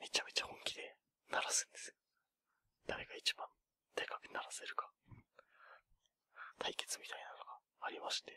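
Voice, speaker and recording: A man whispers at a moderate pace, his loudness swinging widely, with long and frequent pauses in a dry, close sound with no echo. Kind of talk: ASMR whispered chat; casual chat about New Year's temple visits. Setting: binaural stereo microphone recording. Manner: whispered, soft-spoken.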